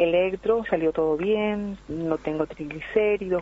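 Noticeable background noise is present as a woman talks. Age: 60s. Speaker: radio caller. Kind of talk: phone-in comment. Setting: phone call.

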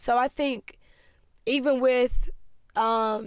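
On a very clean recording with a silent background, a woman with an American accent speaks in a high pitch with an animated tone. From Greensboro, North Carolina. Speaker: podcast host. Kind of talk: solo monologue podcast, casual. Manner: animated, laughs often.

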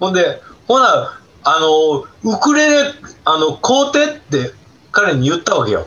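Over noticeable background noise, a man with a Kansai accent speaks at a fairly slow pace. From Osaka, southern Osaka city. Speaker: retired food hygiene specialist and birdwatcher. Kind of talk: casual chat. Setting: video call.

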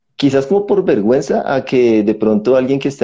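With a dark, mellow tone and lively intonation, a man speaks at a medium pitch and a moderate pace. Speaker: podcast host. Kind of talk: interview; outro. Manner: talkative.

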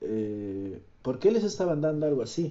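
A man talks at a fairly slow pace. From Bolivia, Cochabamba. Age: 20s. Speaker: podcaster. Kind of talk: casual monologue. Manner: halting.

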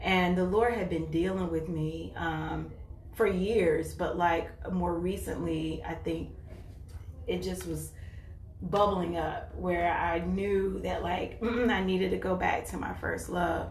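Noticeable background noise sits behind the speech. A woman talks at a very slow pace. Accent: American. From North Carolina. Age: 40s. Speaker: churchgoer sharing faith. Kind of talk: testimony.

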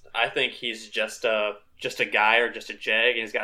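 The tone is bright and sharp. Its intonation is monotone and flat. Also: man. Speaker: fantasy football player guest. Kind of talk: casual chat.

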